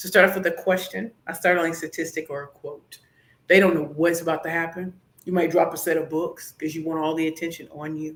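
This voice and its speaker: With an American accent, a woman talks at a fairly quick pace in a fairly low pitch, her loudness swinging widely. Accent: St. Louis accent tinged by Atlanta and DC. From St. Louis, Missouri. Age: 40s. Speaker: pitch coach and business founder. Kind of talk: podcast interview with demonstration pitches. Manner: animated.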